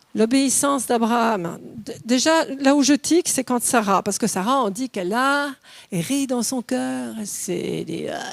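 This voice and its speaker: Lively intonation colors speech delivered at a very slow pace. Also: woman. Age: 60s. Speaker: preacher. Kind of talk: sermon. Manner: animated.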